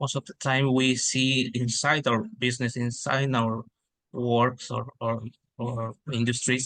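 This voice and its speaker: Fairly slow, monotone speech from a man of medium pitch with a Spanish accent, flat in intonation and bright, sharp in tone. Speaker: webinar participant. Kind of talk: casual sharing in webinar. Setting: online webinar. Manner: halting, hesitant.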